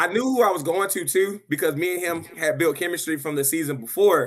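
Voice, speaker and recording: The voice is loud, with ordinary pitch variation. It moves at a fairly quick pace. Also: man, high pitch for a man. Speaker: video game league player. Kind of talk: podcast interview. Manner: loud, animated.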